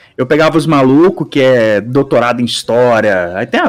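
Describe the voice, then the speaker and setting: A man with a plain, everyday voice speaks at a fairly high pitch. His pace is fairly slow. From Brazil, countryside. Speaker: podcast guest, video editor. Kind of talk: casual chat. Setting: live stream.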